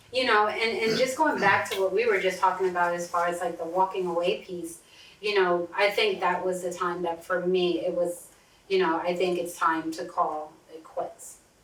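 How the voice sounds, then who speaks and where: A woman speaks at a moderate pace with a medium pitch and fairly even intonation. The room echo is audible, and background noise is noticeable. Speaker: therapist and podcast host. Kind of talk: casual chat. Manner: loud.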